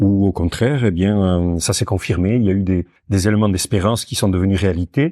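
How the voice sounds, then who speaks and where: Against a quiet background, a man's dark, mellow tone comes through with a dry, close sound and no echo. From French Basque Country. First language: Basque (speaking French). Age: 60s. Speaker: founder and director of a social farm. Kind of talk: interview conversation. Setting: on site at the farm. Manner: hesitant, many fillers.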